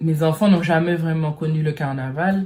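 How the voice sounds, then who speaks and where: A woman with a very deep, low voice and a dark, mellow tone. She sounds somewhat breathy, with ordinary pitch variation. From French Caribbean. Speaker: vlogger. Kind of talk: personal vlog monologue. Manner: halting, many hesitations.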